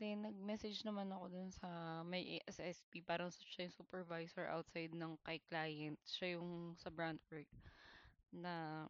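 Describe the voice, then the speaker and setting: A woman's fairly low-pitched, monotone, flat voice at a fairly slow pace. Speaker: vlogger sharing job-hunt experiences. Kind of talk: personal storytelling monologue. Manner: casual, conversational Taglish with some hesitations.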